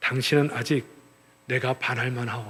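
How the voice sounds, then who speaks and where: In a put-on character voice, a man speaks softly and breathily at a medium pitch. His delivery is monotone and flat at a moderate pace. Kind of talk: archaic formal phrasing. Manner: tender, romantic.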